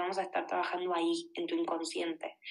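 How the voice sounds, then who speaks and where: The woman's voice is medium in pitch with a bright, sharp tone. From Argentina, Buenos Aires. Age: 30s. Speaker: life coach. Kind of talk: podcast interview.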